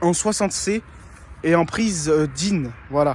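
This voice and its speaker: A man's voice with ordinary pitch variation. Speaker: RC hobbyist YouTuber. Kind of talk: casual video presentation. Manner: hesitant, many fillers.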